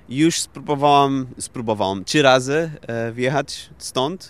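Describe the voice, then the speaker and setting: A man in a Portuguese accent, with ordinary pitch variation. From Portugal. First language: Portuguese (speaking Polish). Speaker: IT worker and concert organiser. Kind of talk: interview. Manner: halting.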